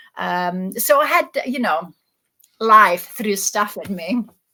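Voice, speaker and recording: A woman with an Italian accent and a bright, sharp tone, at a very slow pace with fairly even intonation. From Italy. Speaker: existential therapist. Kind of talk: interview. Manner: halting, with many repeated words.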